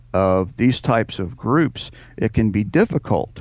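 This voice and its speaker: A man with a Southern US accent, fairly low-pitched, at a fairly slow pace. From Louisiana. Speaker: podcast co-host, army veteran. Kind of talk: casual political talk.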